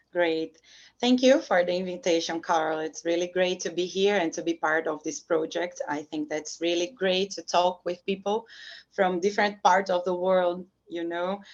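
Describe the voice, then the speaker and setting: A woman with a Brazilian Portuguese accent speaks at a moderate pace in a fairly low pitch. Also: ordinary pitch variation. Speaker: professor. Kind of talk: interview. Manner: halting.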